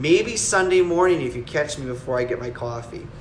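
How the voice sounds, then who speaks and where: A man with a strong Wisconsin accent speaks at a moderate pace with ordinary pitch variation, amid audible room echo and noticeable background noise. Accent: thick Wisconsin. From Wisconsin, US Midwest. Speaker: collectibles maker answering viewer questions. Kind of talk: live stream Q&A, casual chat. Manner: halting, many fillers and restarts.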